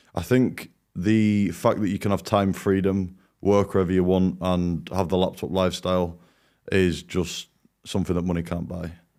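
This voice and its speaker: A man with a British accent, a very deep, low pitch, and a dark, mellow tone at a moderate pace, on a very clean recording with a silent background. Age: 20s. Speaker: agency owner, program student. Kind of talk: testimonial interview. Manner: enthusiastic.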